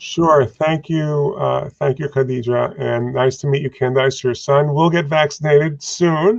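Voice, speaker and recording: A man with an American accent speaks at a fairly slow pace with hardly any pauses, in a fairly high pitch with ordinary pitch variation. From New York. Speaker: infectious disease physician and professor. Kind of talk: panel discussion.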